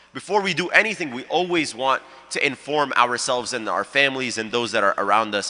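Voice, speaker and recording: At a fairly quick pace, a man with a medium pitch speaks with lively intonation against noticeable background noise. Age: 20s. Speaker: youth ambassador and community organizer. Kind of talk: panel talk.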